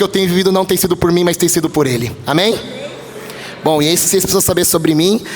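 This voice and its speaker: There is noticeable background noise as a man talks at a high pitch with ordinary pitch variation. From São Paulo, Brazil (east zone). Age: 20s. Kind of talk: sermon. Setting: church. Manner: animated.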